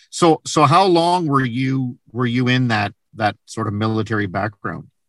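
Speaking at a moderate pace with lively intonation, this is a plain, everyday voice. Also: man. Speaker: podcast host. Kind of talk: interview, scripted intro.

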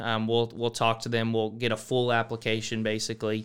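A man with a Texan accent is speaking. His pitch is medium and his pace moderate. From Texas, small town near San Antonio. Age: 20s. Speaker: mortgage loan officer and college student. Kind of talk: casual interview. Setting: studio.

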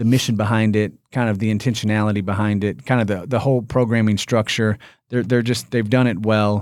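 In a Midwestern US accent, a man talks at a fairly quick pace with a fairly low pitch and flat monotone intonation. The loudness stays very even, on a very clean recording with a silent background. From Indiana. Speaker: company executive. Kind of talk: casual interview.

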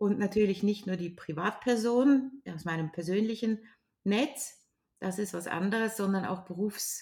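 A woman speaks at a fairly slow pace in a medium pitch. Her voice is somewhat breathy, with ordinary pitch variation. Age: 60s. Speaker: grief counsellor and trainer. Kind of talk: interview.

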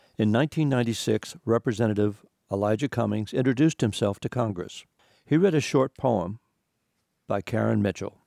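A man with a dark, mellow tone and fairly low pitch speaks at a moderate pace with ordinary pitch variation, in a dry, close sound with no echo on a very clean recording with a silent background. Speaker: radio host and writer. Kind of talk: radio hosting, casual banter and short contemplative reading. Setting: radio studio. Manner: jovial, playful, articulate.

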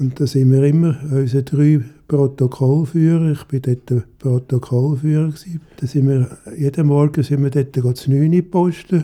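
At a moderate pace, a man speaks with a fairly high pitch, a dark, mellow tone and fairly even intonation. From Zurich, Switzerland. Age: 80s+. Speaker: retiree. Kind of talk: interview testimony.

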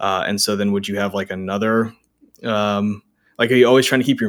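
The delivery comes at a fairly quick pace with monotone, flat intonation. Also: man. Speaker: podcast host. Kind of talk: interview conversation.

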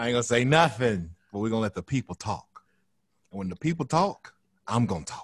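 Animated and quick, a man talks at a medium pitch with lively intonation and big swings in loudness. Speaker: podcast host. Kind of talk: casual banter. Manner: animated, jokey.

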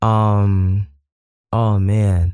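The recording is very clean, with a silent background. A man speaks in an American accent. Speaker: musician, hip hop performer. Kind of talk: casual chat, playful. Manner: animated, playful.

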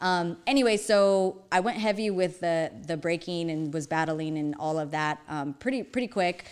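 In a very clean recording with a silent background, a woman with an American accent and an ordinary speaking voice talks at a moderate pace, her pitch fairly low with ordinary variation. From Arizona, Phoenix. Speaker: dance studio owner and director. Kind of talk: casual interview chat, telling life story.

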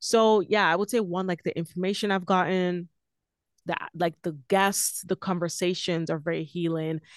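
A plain, everyday voice speaks at a moderate pace with fairly even intonation. The sound is dry and close with no echo. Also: woman, fairly low pitch for a woman. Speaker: podcast host as guest. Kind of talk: casual interview chat.

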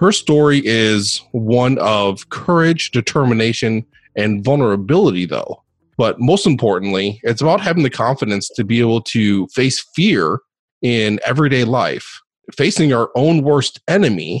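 A man has a normal speaking voice, medium pitch and lively intonation at a fairly slow pace. His loudness stays very even over a quiet background. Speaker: podcast host. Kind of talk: interview.

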